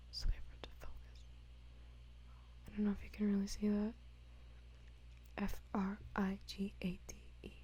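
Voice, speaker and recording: Whispering and soft-spoken, this voice moves at a moderate pace with long, frequent pauses. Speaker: ASMR creator. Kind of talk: ASMR trivia reading. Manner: whispered, soft-spoken.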